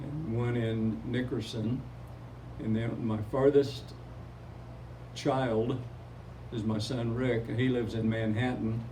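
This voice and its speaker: A man with an American accent speaks at a very slow pace in a medium pitch, with a dark, mellow tone and a somewhat breathy quality. His intonation is monotone and flat, and the room echo is audible. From Oklahoma. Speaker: retired teacher and community photographer. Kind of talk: interview.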